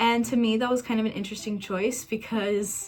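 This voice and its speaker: A woman with an American accent talks in a fairly high pitch. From Kansas, USA. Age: 20s. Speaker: YouTuber, movie reviewer. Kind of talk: casual talk to camera, movie review. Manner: enthusiastic.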